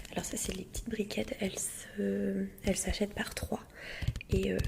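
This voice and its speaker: Whispered words from a woman, with noticeable background noise behind them. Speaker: parent who shops for the family. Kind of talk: casual talk to camera, grocery haul. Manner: soft-spoken.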